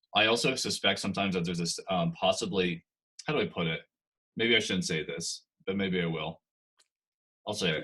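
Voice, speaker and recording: A man with a bright, sharp tone and an American accent, at a fairly quick pace, with long, frequent pauses. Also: ordinary pitch variation. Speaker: singer-songwriter. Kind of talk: interview conversation. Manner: halting, many fillers and restarts.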